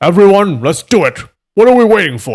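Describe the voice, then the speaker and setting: A man puts on a character voice at high pitch, swinging it very widely. He keeps a fairly quick pace. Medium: read story. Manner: sly, scheming.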